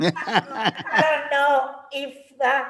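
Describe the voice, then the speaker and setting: Clearly audible background noise behind a woman's high voice. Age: 60s. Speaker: martial arts instructor. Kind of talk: interview.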